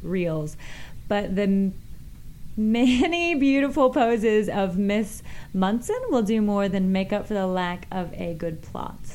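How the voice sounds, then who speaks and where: With an American accent, a normal speaking voice moves at a fairly slow pace with ordinary pitch variation. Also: woman. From Kansas City, US Midwest. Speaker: adult film performer and stand-up comedian. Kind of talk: casual interview chat. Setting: studio, radio show.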